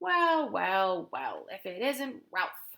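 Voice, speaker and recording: This woman does a put-on character voice at a medium pitch. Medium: read story. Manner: hearty, blunt.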